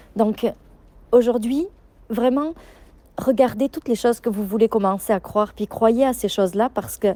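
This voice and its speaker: Her tone dark and mellow, a woman speaks at a fairly high pitch with ordinary pitch variation. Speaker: business coach. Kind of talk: voice message to members. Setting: outdoors. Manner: fast.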